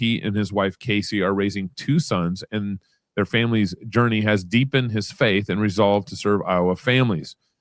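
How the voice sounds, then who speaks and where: A man speaks with a Texas accent. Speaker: podcast host. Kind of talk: interview.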